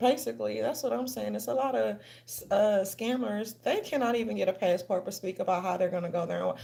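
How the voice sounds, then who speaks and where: A woman keeps up a fairly quick pace while noticeable noise carries on in the background. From New Orleans, Louisiana. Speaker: commentary vlogger. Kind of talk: casual commentary vlog. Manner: animated; controlled diction from theater training.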